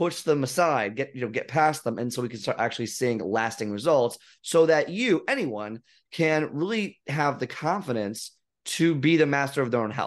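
A man's normal speaking voice at a moderate pace, fairly high in pitch with lively intonation, against a quiet background. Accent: American. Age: 30s. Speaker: fitness coach. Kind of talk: casual chat.

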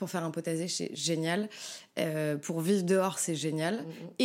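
Heard on a very clean recording with a silent background, a woman speaks at a fairly low pitch and a fairly slow pace. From Paris, France. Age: 30s. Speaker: former veterinary nurse. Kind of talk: casual chat. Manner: hesitant, many fillers.

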